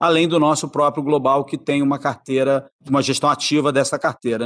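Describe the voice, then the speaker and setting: A man speaks at a fairly quick pace. His voice is unremarkable and fairly high in pitch. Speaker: investment executive. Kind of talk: interview.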